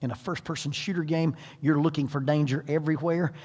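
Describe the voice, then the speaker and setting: A man's somewhat breathy voice has a fairly high pitch and a dark, mellow tone. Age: 60s. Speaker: parenting seminar speaker. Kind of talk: seminar talk.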